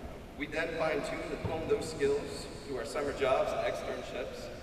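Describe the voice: A man with a fairly high pitch speaks over clear background noise. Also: fairly even intonation, moderate pace.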